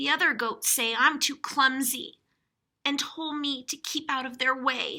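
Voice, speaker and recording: A woman puts on a character voice with a high pitch at a moderate pace, captured in a very clean recording with a silent background. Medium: read story. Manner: bumbling, apologetic.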